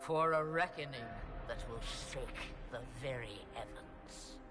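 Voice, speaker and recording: A man does a put-on character voice at a fairly high pitch and a fairly slow pace. Clear music plays in the background. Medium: video game. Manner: cryptic, theatrical, amused.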